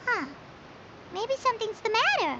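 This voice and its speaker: A squeaky, put-on character voice at extremely high pitch and moderate pace, over clear background noise. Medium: video game. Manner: chatty, excitable, talks about herself in third person.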